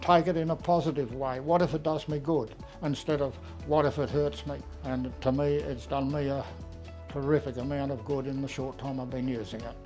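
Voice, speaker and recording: With music in the background, a man with an Australian accent speaks at a fairly quick pace and a fairly high pitch. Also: ordinary pitch variation. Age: 80s+. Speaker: customer giving a testimonial. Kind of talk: customer testimonial talk to camera.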